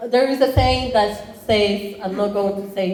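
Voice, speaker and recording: A woman speaks at a fairly slow pace, her medium-pitched voice rising and falling in an ordinary way. The room echo is audible and there is noticeable background noise. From Rwanda. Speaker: college entrepreneurship program chair. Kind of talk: conference talk.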